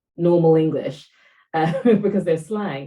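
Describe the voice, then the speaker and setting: Somewhat breathy and fairly low in pitch, a woman speaks with a dark, mellow tone. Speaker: podcast co-host. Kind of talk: casual discussion.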